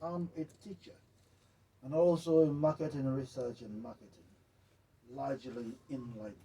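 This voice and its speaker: The voice is somewhat breathy and dark, mellow in tone, moving at a moderate pace with long, frequent pauses, big swings in loudness, and ordinary pitch variation. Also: man, medium pitch for a man. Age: 60s. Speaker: journalist. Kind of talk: interview. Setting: studio.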